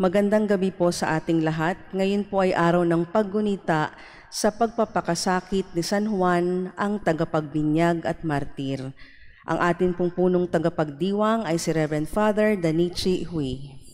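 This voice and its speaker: A woman's a normal speaking voice, fairly low in pitch, at a fairly slow pace, with ordinary pitch variation and very even loudness. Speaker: mass commentator and responder. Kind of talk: liturgical prayer and responses. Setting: church. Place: church. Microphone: podium.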